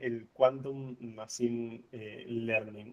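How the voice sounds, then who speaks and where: A very slow, dark, mellow voice with an Argentine accent. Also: man. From Argentina, La Plata. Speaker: physicist and researcher. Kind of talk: lecture. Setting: video call. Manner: hesitant, many fillers. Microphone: too quiet at start.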